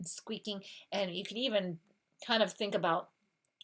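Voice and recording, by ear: With a quiet background, a person reads aloud in a natural voice.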